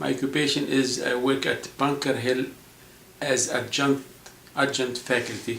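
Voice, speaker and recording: Amid audible room echo and noticeable background noise, a man speaks at a moderate pace and medium pitch in a monotone, flat way. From South Lebanon, Palestinian refugee camp near Tyre. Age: 60s. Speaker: school administrator and adjunct college teacher. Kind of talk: interview. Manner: halting, with self-corrections.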